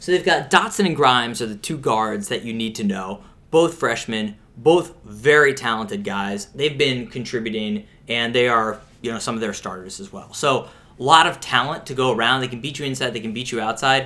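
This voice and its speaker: With an American accent and an ordinary speaking voice, a man talks at a medium pitch with lively intonation and big swings in loudness. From Pittsburgh, US. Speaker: sports podcast co-host. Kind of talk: casual chat.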